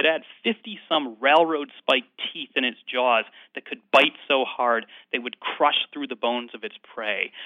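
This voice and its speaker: Speaking at a moderate pace with a General American accent, a man has an unremarkable speaking voice, a fairly high pitch and ordinary pitch variation. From US Midwest. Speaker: paleontologist and author. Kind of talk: interview.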